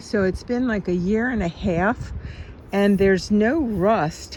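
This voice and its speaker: Over noticeable background noise, a woman talks very slowly at a medium pitch. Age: 70s. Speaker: video blogger. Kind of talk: casual vlog.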